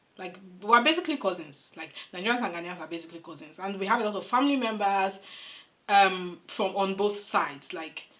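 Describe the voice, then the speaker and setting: There is noticeable background noise as a woman speaks at a fairly quick pace. Her pitch is medium with ordinary variation, and her loudness swings a lot. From Nigeria. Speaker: reaction video creator. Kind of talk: casual commentary to camera.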